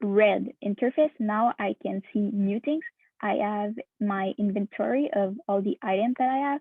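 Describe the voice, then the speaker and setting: A woman speaks at a fairly slow pace with a non-native accent. Her voice is fairly high. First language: not English. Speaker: hackathon participant. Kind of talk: software demo presentation. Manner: halting, many fillers.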